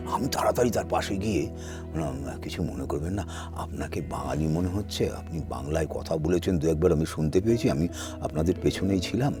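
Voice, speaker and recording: A man is speaking. Music plays in the background. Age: 70s. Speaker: voice actor. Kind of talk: interview answer.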